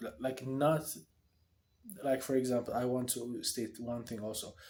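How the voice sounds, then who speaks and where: With an Ethiopian accent, a man of medium pitch talks at a moderate pace using fairly even intonation. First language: Amharic. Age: 20s. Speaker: vlogger. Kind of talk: video diary monologue. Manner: halting; casual.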